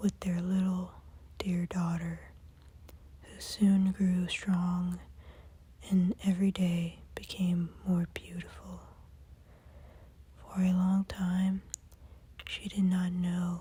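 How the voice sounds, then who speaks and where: Very slow, soft-spoken speech broken by long, frequent pauses. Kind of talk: sleep story.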